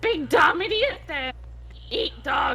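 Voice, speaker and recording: A man's put-on character voice at an extremely high pitch, with clear background noise. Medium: actual play. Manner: broken third-person speech.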